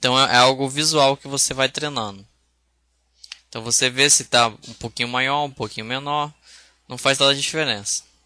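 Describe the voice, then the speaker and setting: This man's medium-pitched voice moves at a moderate pace with fairly even intonation, big swings in loudness, and long, frequent pauses. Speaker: software instructor. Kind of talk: tutorial. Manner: casual, hesitant with fillers.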